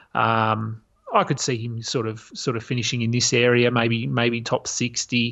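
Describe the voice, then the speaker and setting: This is a man speaking with an Australian accent. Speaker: fantasy basketball writer. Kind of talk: casual chat. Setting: remote call. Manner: halting.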